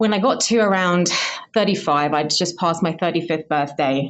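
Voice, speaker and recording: With a southern English accent, a woman talks at a fairly quick pace. Her pitch is fairly low, with ordinary variation. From southern England, Hertfordshire. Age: 30s. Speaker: scientist, listener. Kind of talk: recorded personal testimony.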